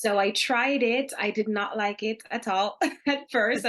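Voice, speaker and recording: A woman speaks with a Jamaican accent. Her intonation stays fairly even. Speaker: business founder. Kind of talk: interview.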